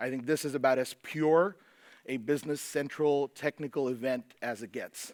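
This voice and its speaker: A man speaks with an American accent. The recording is very clean with a silent background, dry and close with no echo. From United States. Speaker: conference presenter, software consultant. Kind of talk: conference talk. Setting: stage with audience in a movie theater. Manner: speeds up to fast mid-talk.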